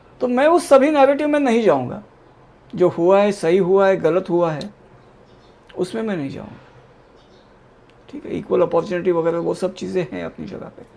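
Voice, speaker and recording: A man with high pitch and lively intonation at a moderate pace, with long, frequent pauses and big swings in loudness. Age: 60s. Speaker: political commentator. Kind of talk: panel discussion.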